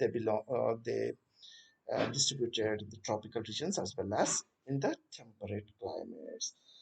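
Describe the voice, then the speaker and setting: With an Indian accent, a man speaks at a fairly quick pace. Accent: Indian English (Telugu). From Telangana, India. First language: Telugu. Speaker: botany teacher. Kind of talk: lecture. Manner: hesitant, many fillers.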